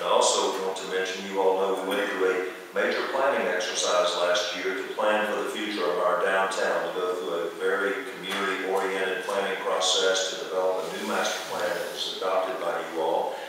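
Strong room echo and noticeable background noise surround a man speaking at a fairly quick pace. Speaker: city manager giving report. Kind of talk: formal report to council. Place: hall. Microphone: camera far.

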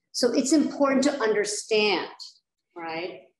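A woman's fairly slow speech, with audible room echo and light background noise. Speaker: college professor. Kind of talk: panel presentation. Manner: repeats 'right?' often. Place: hall.

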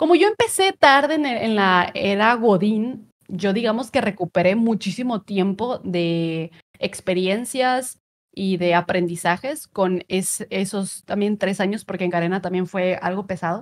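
The woman talks fairly slowly, her pitch varying in an ordinary way, with the background staying quiet. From Mexico, Monterrey; Nuevo León, Mexico. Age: 30s. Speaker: content creator and streamer; content creator, streamer. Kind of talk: casual interview chat. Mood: cheerful, animated storytelling. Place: home room.

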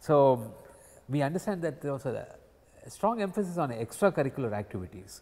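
In a dark, mellow tone, the speaker moves at a fairly quick pace with very wide pitch swings and long, frequent pauses. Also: man, fairly high pitch for a man. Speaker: oral history interviewer. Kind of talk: oral history interview. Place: hall.

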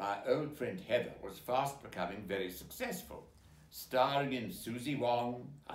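With ordinary pitch variation, the text is read aloud plainly.

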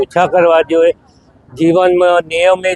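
The sound is dry and close, with no echo at all. A man talks in a high voice. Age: 70s. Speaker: long-distance cyclist. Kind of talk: interview. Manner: halting.

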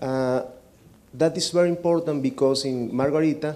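The speaker has a Venezuelan accent. Pitch variation is ordinary. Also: man. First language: Spanish. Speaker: software developer; conference presenter. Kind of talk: conference presentation. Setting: stage with audience. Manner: halting. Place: hall.

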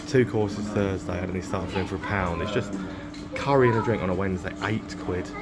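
Loud music plays in the background. The speech moves at a fairly quick pace with ordinary pitch variation. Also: man. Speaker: pub review vlogger. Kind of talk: casual vlog chat. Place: bar. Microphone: phone near.

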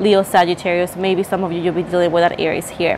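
Light noise sits in the background. The one talking is a woman. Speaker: tarot reader. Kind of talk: tarot reading monologue. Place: home room. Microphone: lapel.

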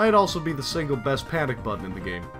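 Music plays in the background. A man speaks in a fairly high pitch with very wide pitch swings. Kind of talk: game guide narration. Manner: casual, joking.

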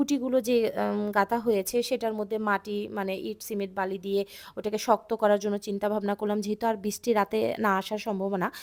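A woman's fairly high-pitched voice in a dry, close sound with no echo. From Bangladesh, Dhaka. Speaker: vlogger. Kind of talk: vlog narration.

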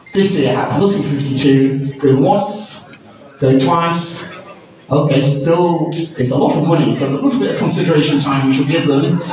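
Recorded with strong room echo and light background noise, a man talks fairly slowly at a fairly high pitch. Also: ordinary pitch variation. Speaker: auctioneer. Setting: auction room with live audience plus phone and online bidders. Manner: playful suspense-building, teasing the room before the hammer. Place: hall. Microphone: pa.

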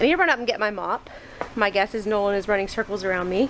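A woman talks fast at medium pitch with ordinary pitch variation over faint background noise.

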